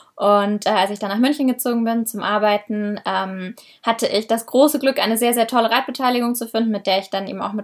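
A woman with a plain, everyday voice, fairly high in pitch and fairly quick, her intonation fairly even, on a very clean recording with a silent background. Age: 20s. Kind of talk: casual interview.

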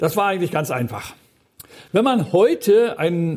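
A man speaks with very wide swings in pitch. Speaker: guest preacher. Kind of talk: sermon.

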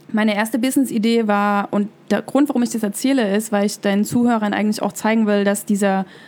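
With noticeable background noise behind her, a woman speaks fairly quickly at a fairly high pitch with fairly even intonation. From East Germany (former GDR). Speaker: business coach. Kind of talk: interview.

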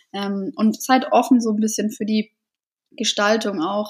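A woman's fairly high, somewhat breathy voice carries fairly even intonation. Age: 20s. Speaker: florist and set designer. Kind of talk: interview.

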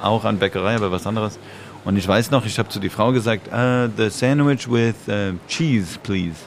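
This man's voice sits fairly low, with ordinary pitch variation and a moderate pace. Noticeable background noise runs behind him. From Canada, Montreal. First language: English or French (speaking German). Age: 40s. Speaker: dancer and choreographer. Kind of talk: casual chat.

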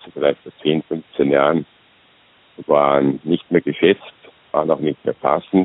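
Fairly slow pace and monotone, flat intonation. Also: man. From Austria. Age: 60s. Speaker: retired executive turned self-employed consultant. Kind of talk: interview. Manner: halting.

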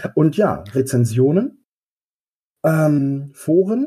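In a dark, mellow tone that is somewhat breathy, a man with a fairly high pitch and lively intonation speaks at a very slow pace. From Westphalia, Germany. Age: 30s. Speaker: game master, social worker. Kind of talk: casual interview. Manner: hesitant, many fillers.

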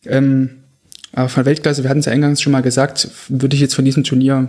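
Talking at a very fast pace, a man keeps a medium pitch and a monotone, flat intonation. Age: 20s. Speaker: goalkeeper coach and football analyst. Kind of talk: podcast interview. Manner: hesitant, many filler sounds.

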